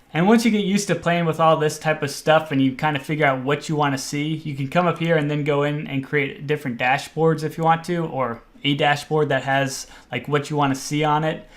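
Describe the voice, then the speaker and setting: This man talks at a fairly quick pace with hardly any pauses, using fairly high pitch and fairly even intonation. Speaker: online marketing instructor. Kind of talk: tutorial. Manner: casual; fast.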